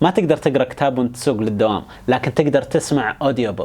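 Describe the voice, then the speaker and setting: Talking very fast with lively intonation, a man is heard over noticeable background noise. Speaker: educational YouTuber. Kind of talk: explainer monologue. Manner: casual, colloquial.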